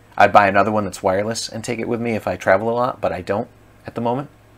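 A man's fairly low-pitched voice at a very fast pace. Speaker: product reviewer. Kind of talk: casual product review. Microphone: camera far.

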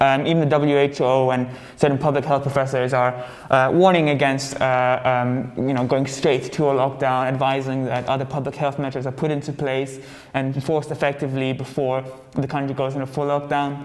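This man speaks at a moderate pace. His intonation stays monotone and flat. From Malta. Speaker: news show co-host. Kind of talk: news roundup chat. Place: office. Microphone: lapel.

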